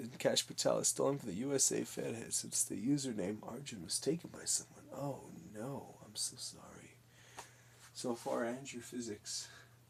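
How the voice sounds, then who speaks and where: A man's medium-pitched voice with vocal fry. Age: 20s. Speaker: streamer and artist. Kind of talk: live stream chat while painting. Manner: casual, jokey.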